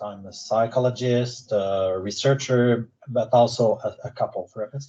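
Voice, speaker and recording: A man with a Quebec accent speaks at a fairly slow pace in a medium-pitched, somewhat breathy voice with a dark, mellow tone. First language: French. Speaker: psychologist and researcher. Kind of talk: lecture. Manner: halting.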